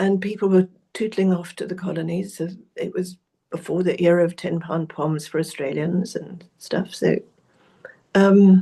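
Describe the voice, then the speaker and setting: Her voice somewhat breathy, a woman talks at a moderate pace and medium pitch in a dark, mellow tone with monotone, flat intonation. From South Africa. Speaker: researcher and author. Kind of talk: interview.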